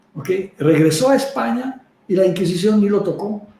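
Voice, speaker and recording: A man speaks with lively intonation. Room echo can be heard. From Czech Republic. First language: Czech (speaking Spanish). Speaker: herbalist. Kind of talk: interview. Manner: halting, many fillers.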